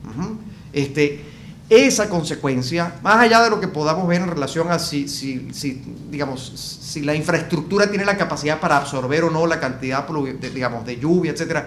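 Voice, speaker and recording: A man with a Venezuelan accent talks at a fairly quick pace in a fairly high voice with ordinary pitch variation, over noticeable background noise and audible room echo. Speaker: business consultant. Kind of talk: interview discussion. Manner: hesitant with fillers.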